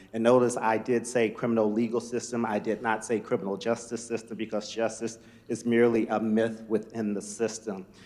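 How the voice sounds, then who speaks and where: A man's medium-pitched, monotone voice with flat intonation, at a fairly quick pace with hardly any pauses. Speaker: nonprofit leader. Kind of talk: conference presentation. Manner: fast; halting, many fillers and repetitions.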